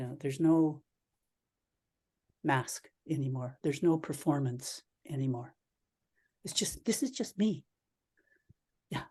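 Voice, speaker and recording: With a Canadian accent, a woman speaks at a fairly slow pace in a dark, mellow, somewhat breathy tone with a very deep, low pitch, ordinary pitch variation and long, frequent pauses. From Canada. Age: 70s. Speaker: Zen priest and teacher. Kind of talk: dharma talk Q&A answer. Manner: halting, with repetitions.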